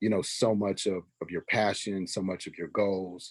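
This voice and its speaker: Very deep and low in pitch, a man speaks at a fairly slow pace in a monotone, flat intonation. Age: 40s. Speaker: podcast co-host. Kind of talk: casual chat.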